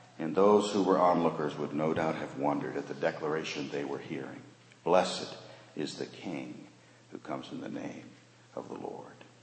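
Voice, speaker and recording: A man speaks at a moderate pace in a very deep, low voice, with big swings in loudness. Noticeable background noise and audible room echo fill the recording. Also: ordinary pitch variation. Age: 50s. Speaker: pastor. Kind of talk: sermon.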